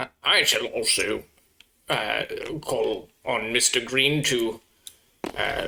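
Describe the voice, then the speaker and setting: A man performs a put-on character voice at a very slow pace. Long, frequent pauses break up his lines. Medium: actual play. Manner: stiff, upper-class.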